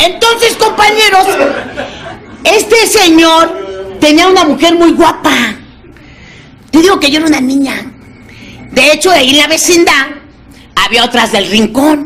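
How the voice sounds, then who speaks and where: In an animated tone, a woman talks at a fairly slow pace with long, frequent pauses, her extremely high pitch making very wide swings while her loudness stays very even. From Mexico. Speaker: recovering alcoholic sharing testimony; speaker. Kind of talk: testimony. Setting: AA meeting with audience. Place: meeting room. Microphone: studio mic.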